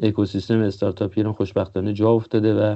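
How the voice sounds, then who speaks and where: A man's fairly low-pitched voice. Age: 40s. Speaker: engineer and book publisher. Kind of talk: interview.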